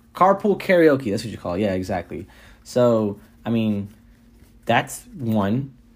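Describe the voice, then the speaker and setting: On a very clean recording with a silent background, a man at medium pitch talks at a fairly slow pace with long, frequent pauses. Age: 20s. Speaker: podcast host. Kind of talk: casual solo monologue. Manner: conversational, filler-heavy.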